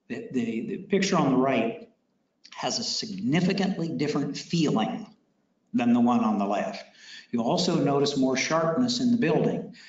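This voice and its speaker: With audible room echo, a man talks at a moderate pace in a high pitch, his voice making very wide pitch swings. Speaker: technology presenter. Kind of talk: technical presentation to audience.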